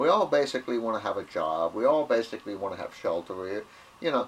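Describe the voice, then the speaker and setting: A man with an American accent talks at a fairly quick pace. Noticeable background noise is present. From US South. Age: 70s. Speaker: video blogger. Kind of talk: casual monologue. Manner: halting, repetitive.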